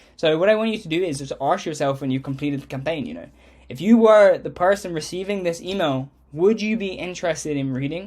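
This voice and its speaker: A man's high voice at a very fast pace, with ordinary pitch variation, in a very clean recording with a silent background. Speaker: agency outreach coach. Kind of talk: tutorial.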